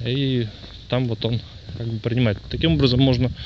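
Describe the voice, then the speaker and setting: Noticeable background noise and a dry sound with no echo. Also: man. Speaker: radio hobbyist. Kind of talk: casual tutorial commentary. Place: street. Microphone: phone near.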